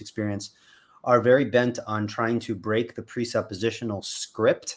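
A man with an American accent talks in a normal speaking voice at a medium pitch and a moderate pace. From US Northeast, Long Island, New York. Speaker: apologetics YouTuber. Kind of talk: casual chat. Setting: video call.

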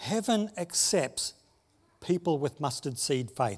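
A somewhat breathy man with an Australian accent and very wide pitch swings. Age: 60s. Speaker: pastor. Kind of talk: sermon.

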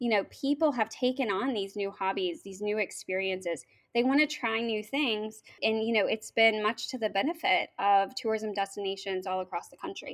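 In an American accent, a woman with an unremarkable speaking voice talks at a moderate pace and fairly high pitch, with ordinary pitch variation and big swings in loudness, on a very clean recording with a silent background. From Oklahoma, US (Norman). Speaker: state tourism official. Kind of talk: interview.

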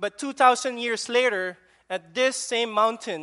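Someone with a Filipino accent speaks at a fairly slow pace over a quiet background. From Philippines. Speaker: preacher. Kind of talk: sermon. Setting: church. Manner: halting, with frequent fillers.

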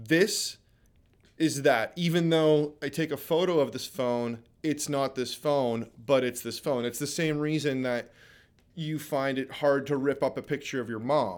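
On a very clean recording with a silent background, a man with a Canadian accent and a plain, everyday voice speaks at a fairly slow pace, his fairly high pitch showing ordinary variation. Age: 40s. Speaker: artist and photographer. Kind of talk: casual chat.

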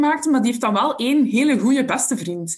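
In a Flemish accent, a woman with a high pitch speaks at a moderate pace amid audible room echo. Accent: Flemish Dutch. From Belgium, Ghent area. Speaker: special education support teacher. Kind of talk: interview.

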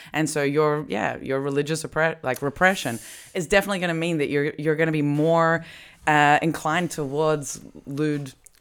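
In an Australian accent, the speaker goes at a moderate pace with fairly even intonation, on a very clean recording with a silent background. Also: woman, very deep, low pitch for a woman. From Australia, Melbourne. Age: 30s. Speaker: comedy podcast host. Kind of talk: casual chat. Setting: at home.

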